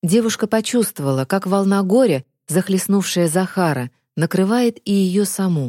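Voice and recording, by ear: The background stays quiet while a voice reads aloud naturally.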